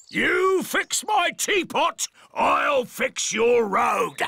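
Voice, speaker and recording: A man's cartoonish, growling character voice, extremely high in pitch, at a very slow pace. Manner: loud, hearty.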